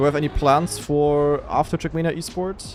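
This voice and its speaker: This man has a German accent and a fairly high pitch. He talks at a moderate pace against noticeable background noise. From Germany. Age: 20s. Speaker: esports player and streamer. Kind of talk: casual live stream chat. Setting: live stream.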